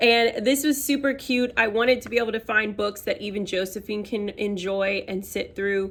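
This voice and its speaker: A woman with a plain, everyday voice, fairly high in pitch, at a moderate pace with fairly even intonation and hardly any pauses. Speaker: homeschooling mom vlogger. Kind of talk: casual chat.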